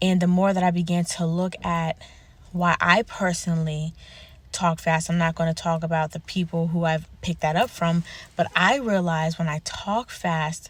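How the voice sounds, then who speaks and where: Moderately paced, somewhat breathy talk with fairly even intonation. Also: woman, fairly low pitch for a woman. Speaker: self-help vlogger. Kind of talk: personal vlog monologue.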